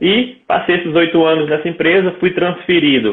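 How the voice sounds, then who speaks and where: A man talks at a moderate pace with a northeastern Brazilian accent. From Brazil, Mossoró, Rio Grande do Norte. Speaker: entrepreneur, engineer. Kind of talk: interview.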